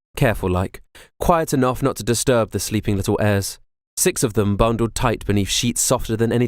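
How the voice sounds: Quiet surroundings behind a natural reading voice.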